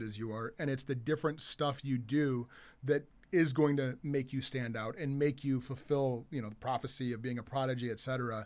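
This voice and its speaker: Fairly high for a man, this unremarkable speaking voice moves at a fairly quick pace with fairly even intonation, captured in a very clean recording with a silent background. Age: 40s. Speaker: business co-owner. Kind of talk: casual chat.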